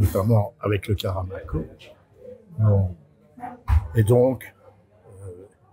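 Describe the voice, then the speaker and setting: A man with a Belgian accent speaks very slowly, with long, frequent pauses. His voice is fairly low, and his intonation fairly even. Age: 70s. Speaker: neuropsychiatrist. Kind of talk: interview. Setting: hospital cafeteria.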